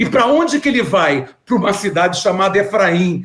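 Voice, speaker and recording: A man talks with a high pitch. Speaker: bible teacher. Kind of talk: lecture.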